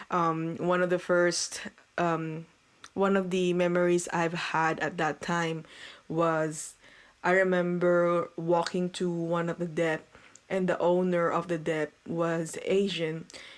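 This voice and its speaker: A woman speaks at a very slow pace with a fairly low pitch and very even loudness. Her intonation is monotone and flat, on a very clean recording with a silent background. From Philippines. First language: Filipino language (not English). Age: 30s. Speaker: radio host. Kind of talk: casual chat.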